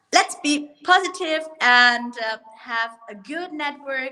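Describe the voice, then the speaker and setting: A woman with a German accent speaks in a bright, sharp tone with lively intonation. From Germany. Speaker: martial arts school owner. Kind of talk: online show interview.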